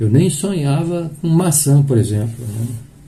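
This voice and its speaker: Somewhat breathy and dark, mellow in tone, a man's fairly high voice carries audible room echo. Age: 60s. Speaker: spiritist lecturer. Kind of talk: sermon. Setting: live stream of a public meeting. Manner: halting.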